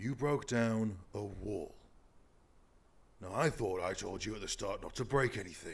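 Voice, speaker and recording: Using a put-on character voice, a man with a fairly low pitch speaks at a moderate pace, broken by long, frequent pauses. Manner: angry.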